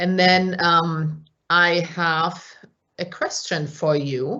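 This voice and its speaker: A woman speaks at a very slow pace. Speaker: physician and company executive. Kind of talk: lecture. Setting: video call from her parents' home.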